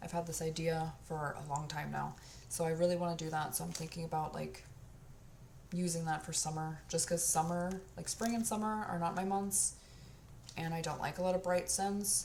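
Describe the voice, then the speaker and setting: Audible room echo around fairly even intonation, delivered at a moderate pace. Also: woman, fairly low pitch for a woman. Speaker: candle and body care reviewer. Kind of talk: casual product review monologue. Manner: casual, lots of filler words.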